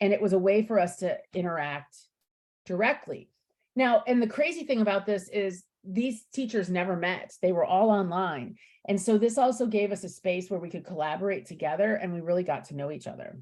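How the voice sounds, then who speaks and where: A woman's medium-pitched voice, fairly quick, with lively intonation. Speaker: teacher educator presenting on VR. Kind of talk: webinar presentation. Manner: fast.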